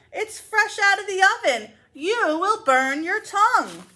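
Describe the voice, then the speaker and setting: A woman does a put-on character voice that is squeaky and extremely high in pitch. She talks at a fairly slow pace. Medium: read story. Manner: fussy, motherly.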